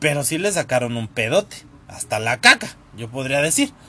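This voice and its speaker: Speaking at a moderate pace, a man uses lively intonation and an animated tone. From Mexico City area, Tlalnepantla. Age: 30s. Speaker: podcast host. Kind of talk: casual storytelling monologue. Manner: animated, laughing.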